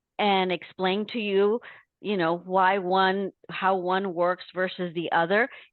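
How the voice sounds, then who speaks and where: A woman speaks at a fairly slow pace. Her pitch is medium, and she has a Spanish accent. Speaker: Medicare insurance agent. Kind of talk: interview.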